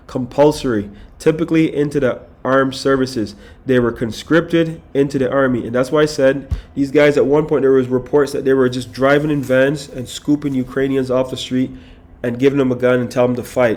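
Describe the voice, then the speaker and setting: Music plays behind a man speaking at a medium pitch and a fairly quick pace. His tone is animated. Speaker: religious commentator on news and prophecy. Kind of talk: scripture reading and commentary livestream.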